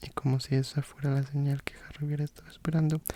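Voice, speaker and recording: A soft-spoken man with a fairly high, somewhat breathy voice speaks in a gentle, calm, dark, mellow tone with monotone, flat intonation, the sound dry and close with no echo. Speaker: ASMR content creator. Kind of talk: audiobook-style narration of a fantasy novel. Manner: soft-spoken, gentle, calm.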